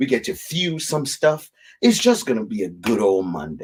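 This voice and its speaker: Speaking with a non-native accent, a man at medium pitch sounds animated, with very wide pitch swings and vocal fry. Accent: immigrant. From Africa. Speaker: whiskey show host. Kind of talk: live stream chat.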